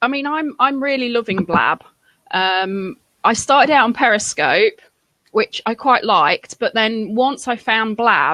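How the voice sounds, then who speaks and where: A woman speaks with a strong Lincolnshire accent at a fairly slow pace, her pitch fairly high and her tone bright and sharp. Her intonation is lively, and the sound is dry and close with no echo. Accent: heavy Lincolnshire. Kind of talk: casual chat.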